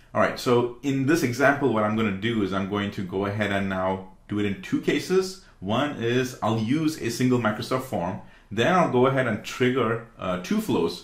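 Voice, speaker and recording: With hardly any pauses, a man talks at a moderate pace amid audible room echo. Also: quiet background. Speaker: tech tutorial creator. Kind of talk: tutorial. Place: home room.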